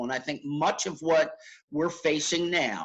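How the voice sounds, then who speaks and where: With ordinary pitch variation, the man speaks at a high pitch. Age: 70s. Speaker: educational consultant, Marine veteran. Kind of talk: interview.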